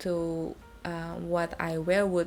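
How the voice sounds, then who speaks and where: A woman is speaking. She has an Indonesian accent. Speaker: beauty and fashion vlogger. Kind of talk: product review. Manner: halting, many fillers.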